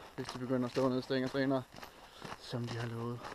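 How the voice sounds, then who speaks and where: A man talks at a very fast pace with monotone, flat intonation. Noticeable background noise is present. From Denmark, Randers (East Jutland). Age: 30s. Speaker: outdoor vlogger. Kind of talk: casual vlog talk to camera. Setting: outdoors in a forest, hiking. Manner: hesitant, with many filler sounds.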